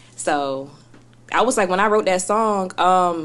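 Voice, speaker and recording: A woman speaks at a medium pitch. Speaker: rapper. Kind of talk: casual chat.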